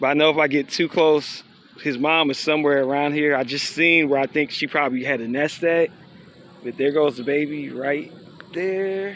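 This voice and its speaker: The man's fairly high voice holds fairly level intonation at a moderate tempo, with clear background noise audible behind it. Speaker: nature vlogger. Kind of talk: casual walk-and-talk vlog. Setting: outdoors, nature walk. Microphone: voice muffled by mask.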